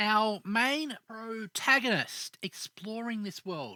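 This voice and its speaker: A woman speaks in a bright, sharp tone. The recording is very clean with a silent background and a dry, close sound with no echo. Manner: rising terminals.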